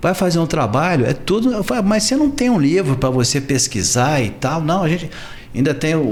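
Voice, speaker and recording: Amid noticeable background noise, a man talks at a fairly quick pace and a fairly high pitch, with very wide pitch swings and very even loudness. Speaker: journalist, videocast host. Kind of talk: interview question, casual talk.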